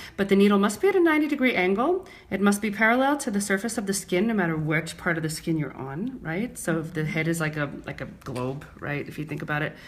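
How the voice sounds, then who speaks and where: Against noticeable background noise, a woman with an American accent talks at a very fast pace with hardly any pauses, her medium pitch making very wide swings. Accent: New York accent, toned down on camera. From New York (Brooklyn). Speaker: microblading artist and trainer. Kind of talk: live demonstration tutorial. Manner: clear, careful diction.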